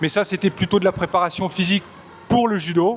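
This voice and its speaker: Over noticeable background noise, a man talks fairly quickly at a high pitch in a monotone, flat intonation. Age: 40s. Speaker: performance coach. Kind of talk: interview answers. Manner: hesitant, many fillers.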